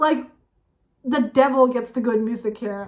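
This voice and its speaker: At a moderate pace, a woman speaks in an animated tone with a high pitch. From Norway. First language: Norwegian. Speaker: music reaction youtuber. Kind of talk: casual reaction commentary.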